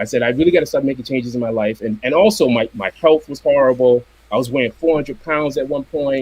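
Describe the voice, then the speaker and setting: Very fast man's speech with an American accent, medium pitch and ordinary pitch variation. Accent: Boston accent, comes out only when angry. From Boston, Massachusetts. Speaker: commercial illustrator and comic artist. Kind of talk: casual chat.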